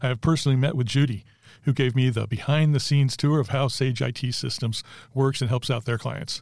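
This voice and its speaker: Over a silent background in a very clean recording, a man with a normal speaking voice talks at a fairly quick pace and a fairly high pitch, with ordinary pitch variation. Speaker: podcast co-host, termite inspector. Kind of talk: casual interview. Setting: studio.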